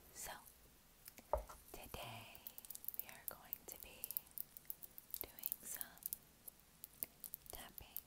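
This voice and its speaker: At a very slow pace, a woman speaks with long, frequent pauses. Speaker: ASMR creator. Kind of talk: ASMR whisper rambling. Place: home room. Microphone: earbuds.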